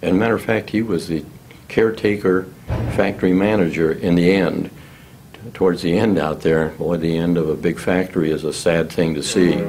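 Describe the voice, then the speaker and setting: At a fairly quick pace, a man with an American accent talks at a very deep, low pitch over light background noise. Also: ordinary pitch variation. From Illinois. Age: 80s+. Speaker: retired engineer recalling local history; interviewee. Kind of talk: oral history interview; interview answer, storytelling. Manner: halting, many fillers and repetitions. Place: meeting room. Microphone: studio mic.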